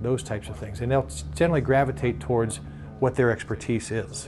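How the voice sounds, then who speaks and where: A man's medium-pitched voice at a fairly quick pace, with music in the background. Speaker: auctioneering school operator. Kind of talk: interview answer.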